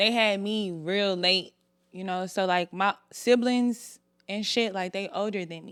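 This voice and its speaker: The speaker has an American accent and a fairly slow pace. Intonation stays fairly even while loudness swings widely. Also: woman, medium pitch for a woman. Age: 20s. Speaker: abuse survivor. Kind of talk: interview. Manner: casual, filler-heavy.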